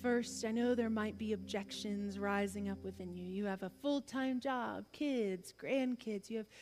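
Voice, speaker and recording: A woman with a normal speaking voice talks in an American accent at a moderate pace, fairly high in pitch and fairly even in intonation. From US South. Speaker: preacher. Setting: church.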